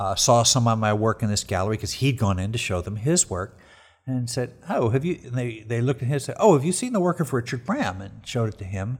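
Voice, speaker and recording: Somewhat breathy and at a very fast pace, a man talks at a medium pitch with lively intonation, recorded very cleanly over a silent background. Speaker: street photographer. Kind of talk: interview conversation. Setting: at guest's home.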